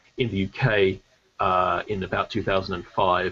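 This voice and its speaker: A man is speaking. He has an Australian accent. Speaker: debate panelist. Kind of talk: debate. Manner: halting, many fillers.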